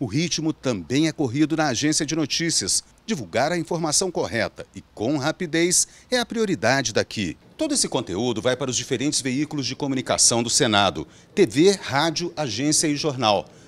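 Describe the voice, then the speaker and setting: A man with a Brazilian accent talks at a moderate pace in a fairly high voice with vocal fry, swinging very widely in pitch. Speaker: news reporter. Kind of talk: scripted narration. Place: office. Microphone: handheld.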